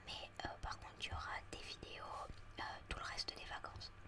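A woman is speaking. She whispers throughout. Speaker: ASMR content creator. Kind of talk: casual talk to camera about her channel. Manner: whispered, soft-spoken.

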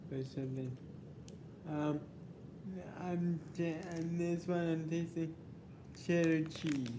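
A man talks at a very slow pace in a monotone, flat intonation over noticeable background noise. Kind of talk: casual vlog chat. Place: home room. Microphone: phone near.

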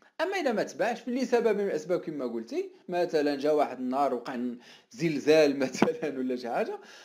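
An animated man at a fairly high pitch, with very wide pitch swings and noticeable background noise. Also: fairly quick pace. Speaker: online marketing coach. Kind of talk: live stream talk. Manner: animated, conversational.

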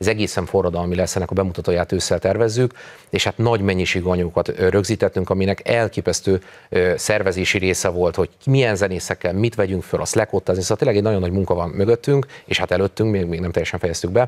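A man talks very fast in a very deep, low pitch with fairly even intonation. The background is quiet. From Hungary. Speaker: folk musician and cultural institute director; interview guest. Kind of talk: interview. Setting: studio. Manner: hesitant, repeats words. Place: studio. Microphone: lapel.

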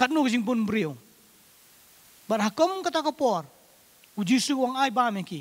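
Speaking at a fairly slow pace, a man's voice sits at an extremely high pitch. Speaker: preacher. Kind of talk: sermon. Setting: church. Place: church. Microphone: handheld.

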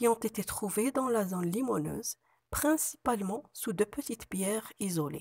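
Talking at a fairly slow pace, a woman has a somewhat breathy, medium-pitched voice with lively intonation, the sound dry and close with no echo. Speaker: university researcher. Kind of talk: conference presentation. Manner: formal.

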